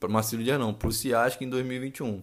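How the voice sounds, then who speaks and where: In a very clean recording with a silent background, a man speaks at a moderate pace with fairly even intonation and a medium pitch, in an ordinary speaking voice. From Rio de Janeiro, Brazil. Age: 20s. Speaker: marine sergeant and podcast host. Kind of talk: casual monologue. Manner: casual, slangy.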